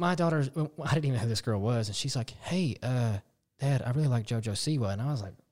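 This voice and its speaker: This man speaks very fast at a medium pitch, his voice somewhat breathy. His intonation is lively. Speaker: podcast co-host. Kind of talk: casual chat.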